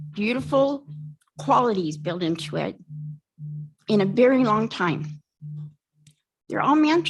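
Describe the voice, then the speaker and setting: A woman at medium pitch talks at a fairly slow pace, with vocal fry, very wide pitch swings and long, frequent pauses. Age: 60s. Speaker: resident giving public comment. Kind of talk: public comment at council hearing. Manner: heated, confrontational.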